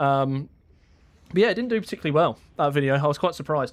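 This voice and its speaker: This man has a British accent and a fairly high pitch. The recording is very clean, with a silent background. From Britain. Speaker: gaming YouTuber streaming. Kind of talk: casual live-stream chat while gaming. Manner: casual, with frequent fillers and repeats.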